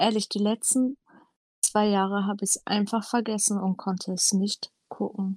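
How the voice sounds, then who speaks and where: A somewhat breathy speaker moves at a moderate pace with monotone, flat intonation. The recording is very clean, dry and close, with a silent background and no echo. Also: woman, medium pitch for a woman. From northern Germany, Hamburg. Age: 20s. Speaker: podcast co-host, retail worker. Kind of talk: casual chat.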